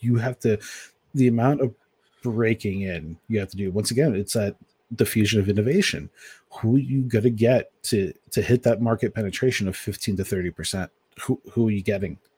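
At a fairly quick pace, a man with a fairly low pitch, a dark, mellow tone and ordinary pitch variation sounds somewhat breathy in a very clean, dry, close recording with a silent background and no echo. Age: 30s. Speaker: games journalist. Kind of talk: casual chat.

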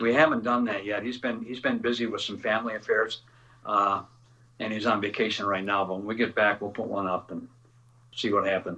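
Fairly low-pitched man with a Midwestern American accent, a bright, sharp tone, fairly even intonation and a fairly quick pace. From Northern Illinois. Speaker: musician. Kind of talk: casual chat.

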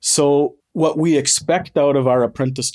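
Recorded very cleanly against a silent background, a man with an ordinary speaking voice talks at a moderate pace with ordinary pitch variation. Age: 50s. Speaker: master electrician and apprentice instructor. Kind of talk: interview.

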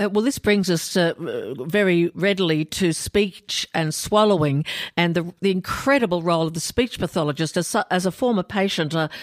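A woman with an Australian accent, fairly low in pitch, at a moderate pace, with ordinary pitch variation, very even loudness and a dry, close sound with no echo. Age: 60s. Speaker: podcast host, former cancer patient. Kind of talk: interview.

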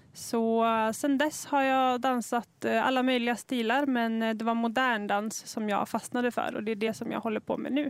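A woman with a plain, everyday voice speaks at a moderate pace and fairly high pitch, with fairly even intonation and hardly any pauses, on a very clean recording with a silent background. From northern Dalarna, Sweden (Sami). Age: 20s. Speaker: Sami podcaster and dancer. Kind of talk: podcast interview. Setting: outdoors.

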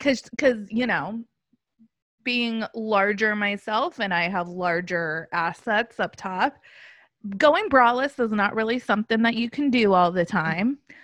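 Here a woman with an American accent and a normal speaking voice talks at a fairly slow pace, her fairly high pitch showing ordinary variation while her loudness swings widely, recorded dry and close with no echo against a quiet background. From Los Angeles, US. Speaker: podcast host. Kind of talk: casual chat.

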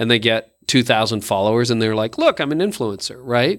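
A man's medium-pitched, normal speaking voice with a Canadian accent and ordinary pitch variation, in a very clean recording with a silent background. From Canada. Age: 50s. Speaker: pastor and leadership podcaster. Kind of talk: casual interview.

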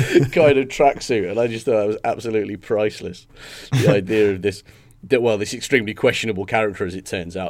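A natural reading voice, its pitch changing by an ordinary amount

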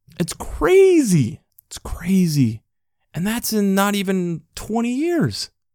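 Recorded dry and close with no echo, a man with a high-pitched, dark, mellow voice speaks very slowly, his intonation lively and his loudness swinging widely. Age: 20s. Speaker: podcast host, lay faith and science commentator. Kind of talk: solo podcast monologue on scripture and science.

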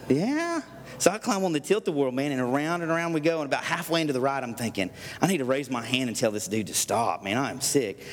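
This man's fairly high voice races along very quickly, his intonation lively, while noticeable noise carries on in the background. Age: 30s. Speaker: pastor. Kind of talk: sermon. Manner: fast; animated.

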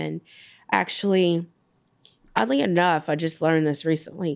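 In an American accent, a woman with a plain, everyday voice speaks at a fairly slow pace and a fairly low pitch, on a very clean recording with a silent background. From Gary, Indiana. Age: 30s. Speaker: local politician. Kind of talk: personal testimony.

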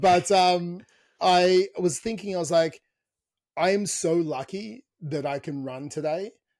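Fairly slow speech from a man with an Australian accent, fairly high in pitch, with ordinary pitch variation. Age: 30s. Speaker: fitness coach and podcast host. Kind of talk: casual chat.

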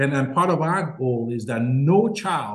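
A man speaks at a medium pitch with very wide swings in it. His voice is somewhat breathy. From Nigeria. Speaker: nonprofit founder. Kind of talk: interview conversation.

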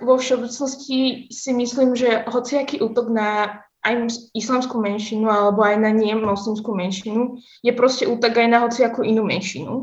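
A woman with a normal speaking voice, fairly high in pitch, at a moderate pace with fairly even intonation. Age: young. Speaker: university student. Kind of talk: casual interview. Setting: video call.

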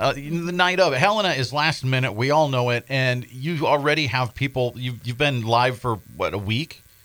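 A man speaks with hardly any pauses, his pitch medium and its variation ordinary. He has an ordinary speaking voice. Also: moderate pace. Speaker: radio host. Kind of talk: casual chat. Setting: studio.

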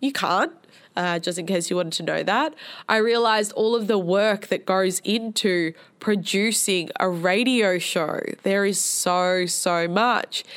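Using an animated tone, a woman with an Australian accent speaks at a fairly slow pace and a medium pitch. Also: ordinary pitch variation. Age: 20s. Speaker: podcast host. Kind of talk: casual solo monologue.

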